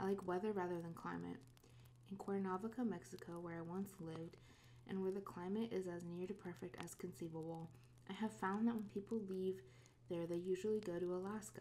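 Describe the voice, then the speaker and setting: A woman speaks softly at a medium pitch. Her pace is fairly quick. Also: ordinary pitch variation. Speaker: ASMR reader. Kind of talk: book reading, classic novel read aloud. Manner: soft-spoken, relaxing.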